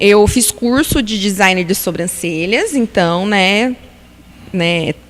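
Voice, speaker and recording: Noticeable background noise surrounds the voice. A woman speaks very slowly at a medium pitch. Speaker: beautician and pharmaceutical sales rep. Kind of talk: casual interview chat. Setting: live-streamed podcast studio.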